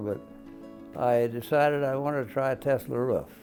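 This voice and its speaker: Music in the background behind a man's medium-pitched voice, fairly slow and with fairly even intonation. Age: 90s. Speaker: war veteran. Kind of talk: interview answer. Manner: hesitant, with fillers.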